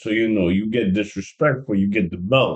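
Using a normal speaking voice, a man with fairly low pitch talks at a moderate pace with ordinary pitch variation. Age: 30s. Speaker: guest. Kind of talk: casual chat. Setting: studio.

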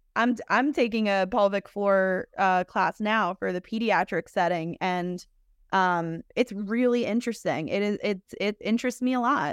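At a fairly slow pace, a woman speaks in a normal speaking voice at a medium pitch with ordinary pitch variation. The recording is very clean with a silent background, dry and close with no echo. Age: 30s. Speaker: pediatric physical therapist. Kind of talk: casual interview chat.

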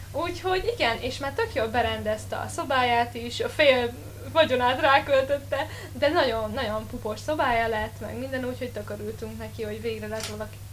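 Loudness rises and falls sharply at a fairly quick pace. Noticeable background noise and audible room echo fill the recording. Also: woman. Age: young. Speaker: podcast co-host, drama student. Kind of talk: casual chat. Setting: studio.

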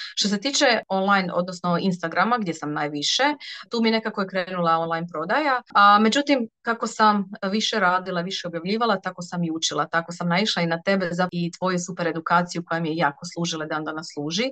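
A woman with a bright, sharp tone, ordinary pitch variation, and a very fast pace. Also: medium pitch for a woman. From southern Dalmatia, Croatia (Ploče). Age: 30s. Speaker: seamstress and small business owner. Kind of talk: interview.

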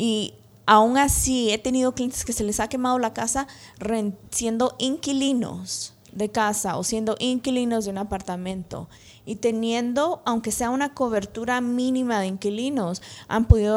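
A woman speaks at a fairly high pitch and a moderate pace with fairly even intonation. The recording is very clean, with a silent background. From El Salvador, moved to US at 13. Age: 30s. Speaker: insurance agent. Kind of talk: interview testimony. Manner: hesitant, many fillers.

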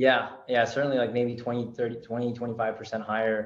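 A man with an American accent speaks at a medium pitch amid audible room echo. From Maryland, US. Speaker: real estate investor. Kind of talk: casual chat. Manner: halting.

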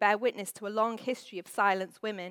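Talking at a very fast pace, a woman with a Manchester accent uses a fairly high pitch and fairly even intonation, recorded very cleanly over a silent background with a dry, close sound and no echo. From northern England, Manchester. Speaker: author. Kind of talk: reading aloud. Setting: stage with audience.

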